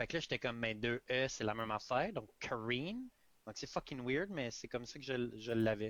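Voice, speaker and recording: This speaker has a Quebec accent. The pace is moderate. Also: man. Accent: Québécois French. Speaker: podcast host. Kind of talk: casual interview on live stream. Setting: Facebook live video call.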